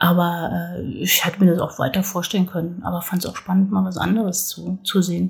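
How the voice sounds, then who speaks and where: A woman with fairly low pitch talks at a fairly quick pace in a monotone, flat intonation, with hardly any pauses. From northern Hesse, Germany. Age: 40s. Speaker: local politician and parent. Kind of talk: casual interview. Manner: hesitant, many fillers.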